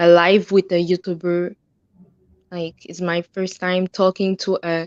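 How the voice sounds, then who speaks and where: A woman with a non-native accent speaks in a monotone, flat intonation. The sound is dry and close with no echo, against a quiet background. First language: French. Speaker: livestream viewer joining. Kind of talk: casual livestream chat. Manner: halting.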